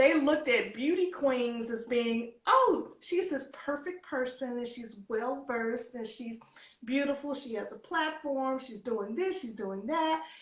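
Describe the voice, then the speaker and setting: A woman with a high voice talks at a fairly slow pace, her intonation lively. Her loudness swings widely, and the room echo is audible. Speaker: former beauty queen and pageant coach. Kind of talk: interview.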